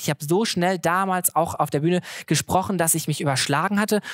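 Talking at a very fast pace, a man with a high voice uses ordinary pitch variation in a dry, close sound with no echo. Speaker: comedian and social media content creator. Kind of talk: live podcast conversation. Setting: stage with live audience.

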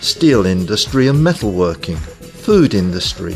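Over background music, a man's voice swings very widely in pitch. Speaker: voice actor. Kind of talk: corporate narration.

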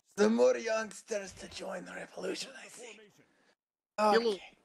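A put-on character voice, raspy and wheezy, sits at a fairly high pitch. It moves at a moderate pace.

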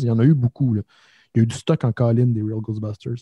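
Somewhat breathy, a man speaks with a Quebec accent. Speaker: podcast host. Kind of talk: casual chat.

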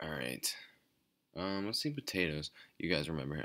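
On a very clean recording with a silent background, a man speaks quietly and very fast, his very deep, low voice bright and sharp in tone with ordinary pitch variation. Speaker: gaming YouTuber. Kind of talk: gameplay commentary. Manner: quiet, low energy; hesitant, many fillers.

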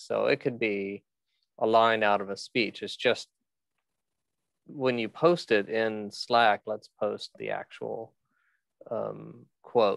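A man's speech with long, frequent pauses, a dry sound with no echo and a quiet background. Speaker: podcast organizer. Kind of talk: screen-share walkthrough.

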